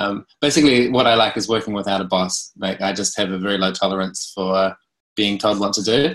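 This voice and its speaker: A man with a New Zealand accent and a fairly low voice. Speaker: cooperative consultant. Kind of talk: presentation. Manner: swallows words.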